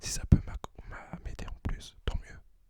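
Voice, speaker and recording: A man speaks in a whisper. His pace is moderate. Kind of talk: ASMR talk to camera. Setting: close to the microphone. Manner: whispered.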